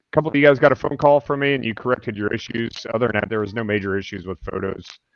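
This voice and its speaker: A man speaks with ordinary pitch variation. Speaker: tournament director. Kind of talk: online meeting briefing. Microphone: headset mic crackling.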